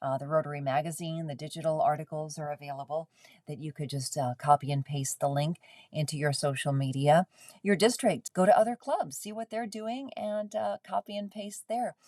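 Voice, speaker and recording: A woman's very deep, low voice with a dark, mellow tone, fairly quick pace, lively intonation and big swings in loudness. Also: dry, close sound with no echo. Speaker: club volunteer presenter. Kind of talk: presentation. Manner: fast.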